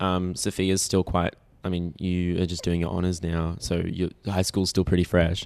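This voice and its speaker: The background is quiet as a man speaks at a moderate pace in an Australian accent. His very deep, low voice stays monotone and flat. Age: young, 19. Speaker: young actor, theatre company member. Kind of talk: casual interview chat.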